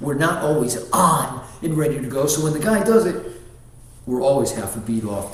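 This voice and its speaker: A man with a fairly high pitch talks at a moderate pace with lively intonation. Audible room echo and noticeable background noise surround him. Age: 60s. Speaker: martial arts grandmaster. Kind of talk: casual interview chat.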